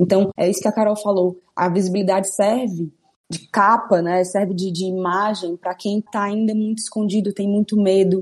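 The woman's voice is somewhat breathy. She speaks in a monotone with flat intonation. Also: medium pitch for a woman, moderate pace. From Ceará, Brazil. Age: 20s. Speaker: cook. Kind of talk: casual chat.

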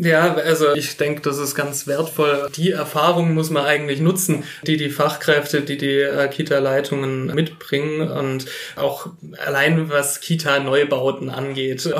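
Over noticeable background noise and audible room echo, a man talks at a fairly slow pace in a fairly high pitch with monotone, flat intonation. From Filderstadt, Baden-Württemberg, Germany. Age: 30s. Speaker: state politician. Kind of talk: interview. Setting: on site in the kindergarten.

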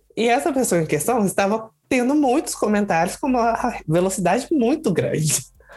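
Music plays in the background as the speaker talks at a fairly slow pace. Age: 20s. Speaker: drag queen, contest winner. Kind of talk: casual interview.

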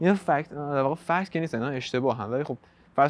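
A man's voice with ordinary pitch variation. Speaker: podcast host. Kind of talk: solo podcast monologue.

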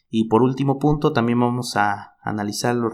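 Using a plain, everyday voice, a man talks at a moderate pace with ordinary pitch variation, on a very clean recording with a silent background. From Mexico, Chiapas. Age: 20s. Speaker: podcast co-host, football commentator. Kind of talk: casual football chat.

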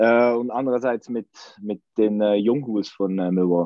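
In a Swiss accent, a man talks with fairly even intonation. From Switzerland. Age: 30s. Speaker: football fan. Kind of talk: casual chat.

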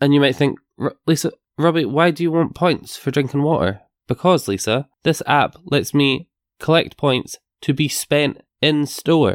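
A man's ordinary speaking voice, fairly high in pitch, at a fairly slow pace with very even loudness and ordinary pitch variation, in a very clean recording with a silent background and a dry, close sound with no echo. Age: 20s. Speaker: podcast co-host. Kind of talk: casual chat.

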